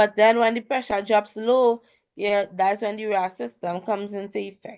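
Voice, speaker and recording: Here is a woman with an ordinary speaking voice and a medium pitch. Her pace is moderate. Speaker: tutor. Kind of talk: online tutorial.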